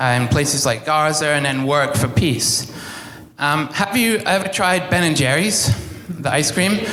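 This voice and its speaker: Speaking at a fairly slow pace with a fairly high pitch, the man is heard through audible room echo and noticeable background noise. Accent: English. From England. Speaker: pastor. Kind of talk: sermon. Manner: halting, many fillers.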